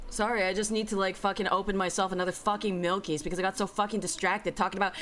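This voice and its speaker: An animated tone runs through this woman's speech. She talks with an American accent. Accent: Bay Area accent, comes out strongly at times. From US West Coast, San Francisco Bay Area. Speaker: streamer. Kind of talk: casual chat. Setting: live stream. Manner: fast.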